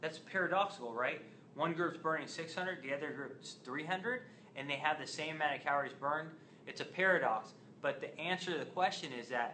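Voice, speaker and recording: Over light background noise, a man talks at a fairly quick pace. His pitch varies in an ordinary way. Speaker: fitness educator. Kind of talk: lecture. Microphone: phone near.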